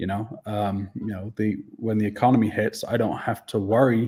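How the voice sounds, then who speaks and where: With a Welsh accent, a man speaks at a moderate pace in a fairly low pitch, his dark, mellow tone held to a flat monotone. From Wales. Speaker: dog training business owner. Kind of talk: interview. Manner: hesitant, many fillers.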